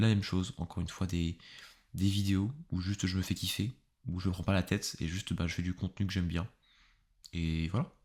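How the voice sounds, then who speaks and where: A man with a very deep, low pitch and fairly even intonation, fairly quick pace broken by long, frequent pauses, very clean recording with a silent background. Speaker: YouTuber and podcaster on philosophy. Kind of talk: casual solo podcast monologue. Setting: home recording with pop filter. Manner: fast; casual, hesitant with fillers.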